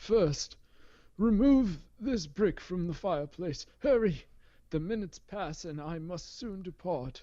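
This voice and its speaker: At a middle pitch, a put-on character voice speaks at a fairly slow pace over a quiet background. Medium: read story. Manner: hollow, solemn.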